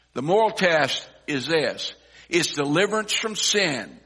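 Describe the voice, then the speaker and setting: In a raised, projected voice, the speaker goes at a fairly slow pace with lively intonation. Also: man. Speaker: pastor. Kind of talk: sermon. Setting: church.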